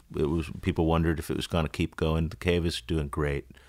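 With an American accent, a man talks in a monotone, flat intonation at a very deep, low pitch, his tone relaxed and the sound dry and close with no echo. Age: 40s. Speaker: musician. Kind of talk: casual chat. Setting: studio. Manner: relaxed, frequent fillers.

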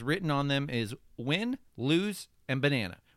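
This man's voice has a bright, sharp tone. The recording is very clean, with a silent background. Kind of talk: infomercial-style mock sales pitch, playful carnival-barker spiel.

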